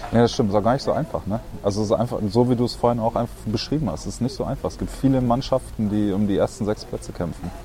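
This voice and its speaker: Over noticeable background noise, a man talks at a very fast pace with hardly any pauses. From Germany, Berlin. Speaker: professional handball player. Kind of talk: casual interview.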